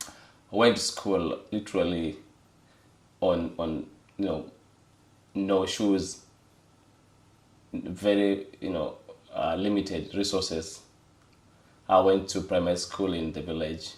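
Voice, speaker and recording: At a very slow pace with long, frequent pauses, a man with a Kenyan accent speaks in a very deep, low pitch and fairly even intonation, with audible room echo around him. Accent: Kenyan (Luo) English. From Kenya, Homa Bay County. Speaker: data firm executive. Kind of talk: interview testimony. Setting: studio, on camera. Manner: halting, many fillers.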